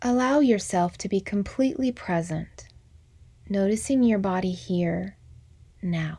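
In a calm, soothing, dark and mellow tone, a woman speaks at medium pitch and a fairly slow pace, somewhat breathy, with lively intonation and long, frequent pauses. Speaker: MBSR teacher. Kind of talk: guided meditation. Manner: slow, calm, soothing with long pauses; soft-spoken, gentle.

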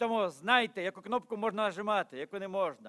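Over a quiet background, a man with a high pitch talks at a fairly quick pace with ordinary pitch variation. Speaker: pastor. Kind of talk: sermon. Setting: church. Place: church. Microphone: podium.

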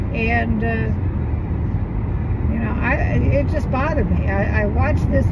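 A woman over loud background noise. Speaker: vlogger. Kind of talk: casual vlog chat. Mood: mildly annoyed, reflective. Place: car. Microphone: phone near.

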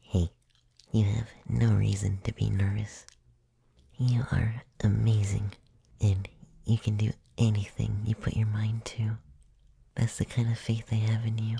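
Soft-spoken and fairly slow, the speech has long, frequent pauses and a dry sound with no echo. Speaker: voice actor playing a comforting character. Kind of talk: roleplay audio addressed to the listener at bedtime. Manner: soft, tender, close ASMR murmur.

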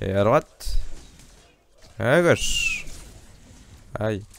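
A man's voice with long, frequent pauses, a dry sound with no echo and noticeable background noise. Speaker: gaming youtuber; gamer streamer. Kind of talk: gameplay commentary. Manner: animated. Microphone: new microphone, no pop filter yet; headset.

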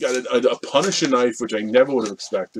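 A man's pitch swings very widely. Light background noise runs underneath. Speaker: collector vlogger. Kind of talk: casual vlog chat. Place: home room. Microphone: webcam.

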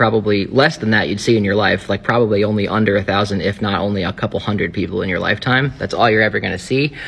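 A man with a fairly low pitch talks very fast, his pitch varying in an ordinary way. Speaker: anthropology content creator. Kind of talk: casual science explainer. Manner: animated. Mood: joking, irreverent. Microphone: phone near.

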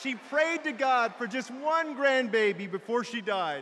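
A man's raised, projected voice over crowd noise in the background. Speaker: politician giving a convention keynote. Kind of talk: political speech. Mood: warm, personal storytelling. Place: hall. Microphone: podium.

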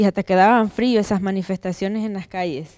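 A woman talks at a moderate pace. The background is quiet. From Nicaragua. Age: 30s. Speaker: activist and political exile; speaker. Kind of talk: panel discussion. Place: hall. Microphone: handheld.

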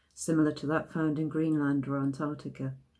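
A woman speaks in a very deep, low voice. The background is quiet. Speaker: poet. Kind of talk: poetry reading, measured and deliberate.

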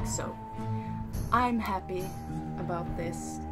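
A woman at a fairly slow pace over loud background music. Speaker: vlogger. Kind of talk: casual talk to camera. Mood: happy, pleased. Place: home room. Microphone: phone near.

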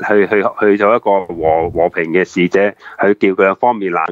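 Speaking at a moderate pace, a man with a Hong Kong accent has a fairly low pitch. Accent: Hong Kong Cantonese. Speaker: former police officer, retired banker. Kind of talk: live talk show interview.

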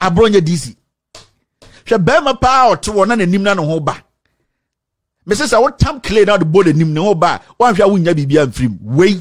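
In a quiet background, a man speaks at a moderate pace. His intonation is lively. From Ghana. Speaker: political commentator. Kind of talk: political commentary rant. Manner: animated. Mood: indignant, confrontational. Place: studio. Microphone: studio mic.

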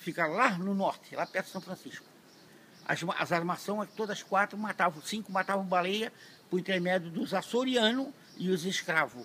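Projected and raised, a man's high-pitched, bright, sharp voice moves at a moderate pace with ordinary pitch variation over light background noise. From Santa Catarina, southern Brazil. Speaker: fisherman. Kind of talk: interview answer. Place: street. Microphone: phone near.

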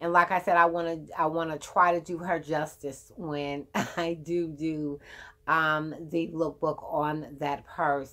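Against a quiet background, the voice moves at a very slow pace in a flat monotone, with a bright, sharp tone. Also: woman, very deep, low pitch for a woman. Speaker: beauty and fashion vlogger; fashion vlogger. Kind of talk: casual chat. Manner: rambling, filler words. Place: home room.

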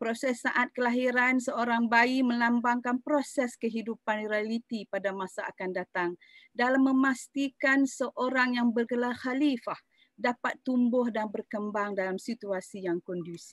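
Against a quiet background, a woman with a high pitch and ordinary pitch variation talks at a fairly slow pace, the sound dry with no echo. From Malaysia. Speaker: university lecturer. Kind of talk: lecture. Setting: video call. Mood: calm, earnest, religious tone. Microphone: video call.

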